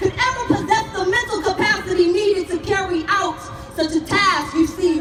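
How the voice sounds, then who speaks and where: Music plays in the background. A woman speaks at an extremely high pitch. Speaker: spoken word poet. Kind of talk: spoken word poetry performance. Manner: impassioned, forceful.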